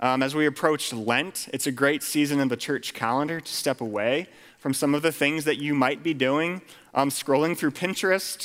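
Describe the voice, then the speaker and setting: A man with an American accent and a fairly high pitch, a normal speaking voice with ordinary pitch variation. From Pennsylvania, Lancaster County. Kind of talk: sermon.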